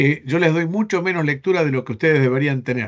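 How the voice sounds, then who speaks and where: This man talks at a fairly quick pace with an Argentine accent. His pitch is fairly high, with ordinary variation. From Spain. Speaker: bible seminary professor. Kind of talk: online class lecture. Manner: halting, repeats words.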